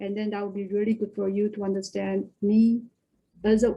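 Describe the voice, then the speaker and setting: Her pitch medium and her tone dark and mellow, a woman speaks somewhat breathily at a fairly quick pace in a monotone, flat intonation. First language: Korean and Chinese. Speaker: HR director. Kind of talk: webinar talk. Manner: halting.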